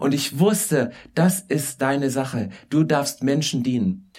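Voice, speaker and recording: A man's voice with ordinary pitch variation. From Saxony, rural. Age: 50s. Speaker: guest preacher. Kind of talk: sermon. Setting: church service.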